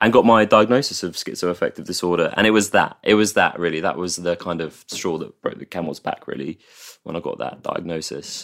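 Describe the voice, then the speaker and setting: A man with an English accent and a very deep, low pitch, speaking at a fairly quick pace on a very clean recording over a silent background. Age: 30s. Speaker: mental health campaigner. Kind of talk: interview. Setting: host's flat.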